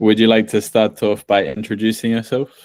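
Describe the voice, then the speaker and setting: This man has an English accent, and the recording is very clean with a silent background. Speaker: podcast host. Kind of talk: casual chat.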